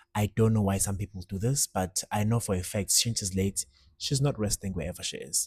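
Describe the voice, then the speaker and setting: A somewhat breathy voice with a Zulu accent and ordinary pitch variation comes through in a very clean recording with a silent background and a dry, close sound with no echo. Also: man. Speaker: musician. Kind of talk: casual monologue. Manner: casual, code-switching.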